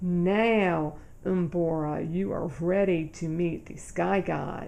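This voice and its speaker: Using a put-on character voice, a woman speaks very slowly at a fairly low pitch over clear background noise. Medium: read story.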